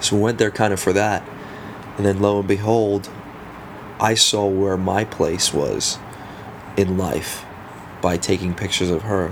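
A man at a fairly low pitch and fairly slow pace, monotone with flat intonation and very even loudness, with long, frequent pauses and noticeable background noise. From South Africa. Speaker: guest. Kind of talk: casual interview chat.

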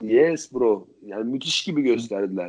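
A man's dark, mellow voice unfolds at a fairly slow pace. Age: 20s. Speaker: podcast co-host. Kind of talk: casual chat.

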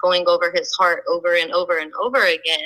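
In an ordinary speaking voice, a woman talks at a fairly low pitch and a moderate pace with ordinary pitch variation. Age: 20s. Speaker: mother sharing her story. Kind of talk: interview testimony.

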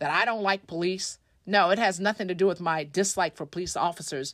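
On a very clean recording with a silent background, a woman with an American accent speaks in a plain, everyday voice of medium pitch at a fairly quick pace. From Tulsa, Oklahoma. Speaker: state legislator. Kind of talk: interview. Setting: studio.

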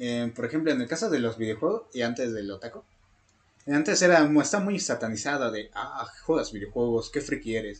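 A plain, everyday voice from a man, medium in pitch, fairly quick, with lively intonation. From Mexico. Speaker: podcast co-host. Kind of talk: casual chat.

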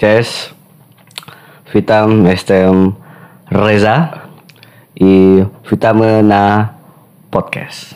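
Amid noticeable background noise, a man speaks very slowly in a fairly low voice with fairly even intonation and long, frequent pauses. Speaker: podcast guest. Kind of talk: casual chat.

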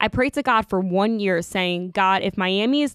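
Moderately paced delivery in an unremarkable speaking voice, its pitch varying in an ordinary way. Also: woman, dry, close sound with no echo. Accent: American. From Long Island, New York. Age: 20s. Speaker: podcast host. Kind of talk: reading aloud.

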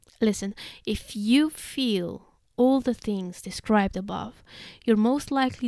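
A woman with a Russian accent speaks at a moderate pace with ordinary pitch variation. Her fairly high voice has a dark, mellow tone. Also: very clean recording, silent background. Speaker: podcaster reading own blog. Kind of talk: reading aloud.

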